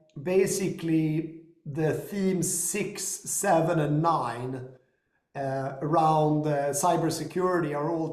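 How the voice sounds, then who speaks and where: A man with an American accent speaks at a fairly high pitch with fairly even intonation. Audible room echo surrounds his voice. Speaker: company founder and investor. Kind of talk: business discussion.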